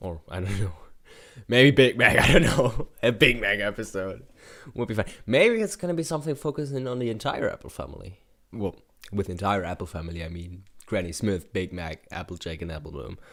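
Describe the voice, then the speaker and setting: A man talks at a fairly quick pace with very wide pitch swings. His loudness rises and falls in big swings. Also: fairly low pitch for a man. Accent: German. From Germany. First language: German. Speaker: YouTube reactor. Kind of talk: reaction commentary. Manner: hesitant, many fillers.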